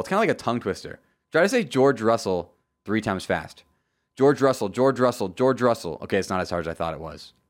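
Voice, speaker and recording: Heard against a silent background in a very clean recording, the speaker uses an American accent, an animated tone and vocal fry at a fairly quick pace. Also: man. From Florida, Tampa Bay area. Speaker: motorsport podcast host. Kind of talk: solo podcast recap.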